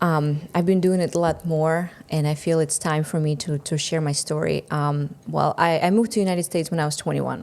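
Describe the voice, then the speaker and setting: A woman with a Russian accent speaks in a very deep, low voice. Her intonation stays fairly even and she hardly pauses. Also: fairly quick pace. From Russia, Siberia. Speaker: entrepreneur, marketing coach. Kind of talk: podcast interview. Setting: studio.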